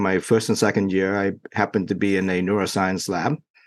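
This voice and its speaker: The delivery is monotone and flat at a moderate pace against a quiet background. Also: man. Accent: Vietnamese. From Vietnam. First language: Vietnamese. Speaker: neurologist. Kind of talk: interview. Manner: halting, many fillers.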